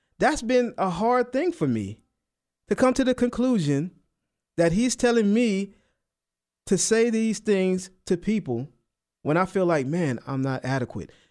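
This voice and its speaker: In a New Orleans accent, the speaker goes at a fairly slow pace with long, frequent pauses and very wide pitch swings, on a very clean recording with a silent background. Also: man, high pitch for a man. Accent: New Orleans Southern US. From US South, New Orleans. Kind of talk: radio sermon/Bible teaching. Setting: radio studio. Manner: casual, uses filler like man and you know.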